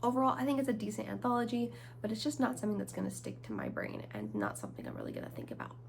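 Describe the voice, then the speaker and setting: Through noticeable background noise, a woman speaks very fast. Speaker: book reviewer. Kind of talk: casual talk to camera.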